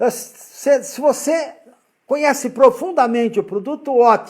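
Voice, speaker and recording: With lively intonation, a man is talking. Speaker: business mentor. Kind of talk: live-stream lecture. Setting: online live stream.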